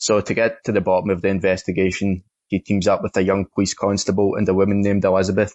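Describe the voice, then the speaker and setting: A man with a Scottish accent at a fairly low pitch and a very fast pace, in a monotone, flat delivery. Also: very even loudness. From Scotland. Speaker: film critic. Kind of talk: film review.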